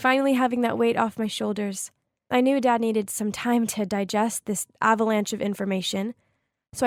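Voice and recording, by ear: Someone reads aloud in a natural voice. Nothing much stirs in the quiet background.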